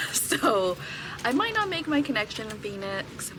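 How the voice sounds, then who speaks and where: Lively intonation from a woman amid noticeable background noise. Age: 30s. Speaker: vlogger. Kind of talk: casual vlog talk to camera. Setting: airport. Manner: quiet, talking low.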